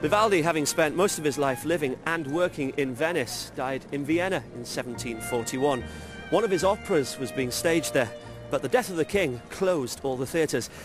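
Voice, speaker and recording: Over music in the background, a man talks at a fairly quick pace with a fairly high pitch and lively intonation. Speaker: television presenter. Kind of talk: documentary presenter narration.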